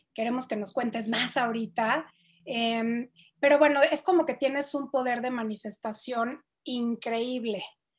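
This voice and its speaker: In a very clean recording with a silent background, a woman speaks at a fairly slow pace in a high pitch. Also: fairly even intonation. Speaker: podcast co-host. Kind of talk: interview conversation.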